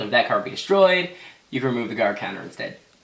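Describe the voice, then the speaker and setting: A man talks at a very fast pace with ordinary pitch variation. Noticeable background noise and audible room echo are present. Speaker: card game deck profiler. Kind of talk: casual tutorial. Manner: halting, stuttering.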